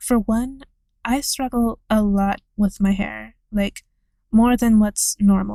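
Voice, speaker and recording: The voice is dark, mellow and somewhat breathy, with monotone, flat intonation and a dry, close sound without echo, on a very clean recording with a silent background. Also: woman. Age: 20s. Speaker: video essayist. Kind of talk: scripted narration.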